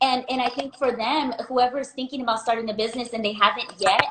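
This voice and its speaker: A loud, high-pitched woman talks in a bubbly tone over noticeable background noise. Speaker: small business owner. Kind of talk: interview.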